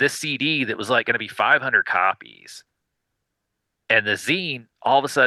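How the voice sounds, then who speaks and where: In an American accent, a man speaks at a moderate pace with long, frequent pauses. The sound is dry and close with no echo, over a quiet background. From US South. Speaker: indie record label founder. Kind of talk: podcast interview. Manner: hesitant, many fillers.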